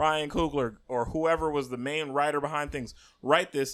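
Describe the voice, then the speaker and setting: A man speaks in a plain, everyday voice, pitched fairly high, at a moderate pace. His intonation stays fairly even, and the recording is very clean with a silent background. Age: 30s. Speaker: podcast host. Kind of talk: casual chat.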